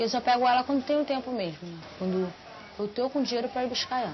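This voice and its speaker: A woman speaks at a fairly quick pace with lively intonation. Noticeable background noise runs under her voice. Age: 20s. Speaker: adult literacy student. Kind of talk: documentary interview.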